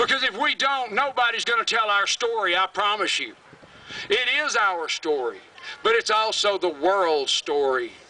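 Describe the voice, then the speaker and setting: This man's high voice is raised and projected, with very wide pitch swings and an animated, passionate tone. His pace is moderate, and the sound is dry with no echo. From US South, Alabama. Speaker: environmental activist, creek keeper. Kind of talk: rally speech, fiery and defiant, addressed to a crowd. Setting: stage with audience at rally. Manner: passionate, angry, loud, blunt and emphatic; animated, storytelling with vivid detail. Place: stage.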